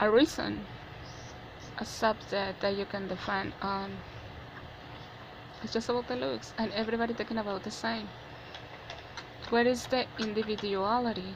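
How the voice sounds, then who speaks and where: A woman with a non-native accent at medium pitch, with ordinary pitch variation, a moderate pace, long, frequent pauses and noticeable background noise. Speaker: vlogger. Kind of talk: personal opinion monologue. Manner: halting.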